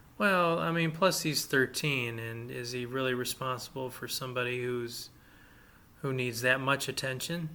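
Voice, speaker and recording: The speaker has a bright, sharp tone, a moderate pace and ordinary pitch variation. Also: man, medium pitch for a man. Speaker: podcast host. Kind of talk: casual chat. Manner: halting, many fillers.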